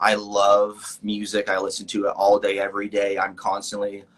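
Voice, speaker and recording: Noticeable background noise sits under the voice. The accent is American. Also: man. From Idaho, USA. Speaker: actor. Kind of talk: interview answer.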